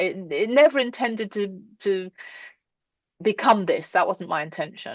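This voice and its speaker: The speech has lively intonation and moves at a moderate pace. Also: woman. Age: 60s. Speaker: scientist and women-in-STEM network founder. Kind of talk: presentation then interview. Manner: rambling, hesitant.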